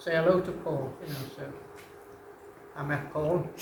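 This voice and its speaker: In a Liverpool accent, the speaker goes at a moderate pace with fairly even intonation, amid audible room echo and noticeable background noise. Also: man. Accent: Liverpool (Scouse). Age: 80s+. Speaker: retired rock drummer. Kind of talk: onstage conversation.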